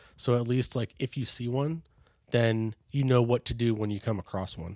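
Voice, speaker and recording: In a normal speaking voice, a man with an American accent talks fairly quickly at a medium pitch, with ordinary pitch variation and a dry, close sound with no echo. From California, Bay Area. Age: 30s. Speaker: hunter safety educator. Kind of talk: casual interview.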